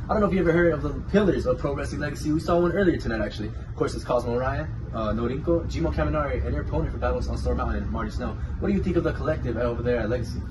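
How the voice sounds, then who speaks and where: Noticeable background noise runs beneath a man who talks very fast. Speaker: wrestling interviewer. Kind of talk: interview. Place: office.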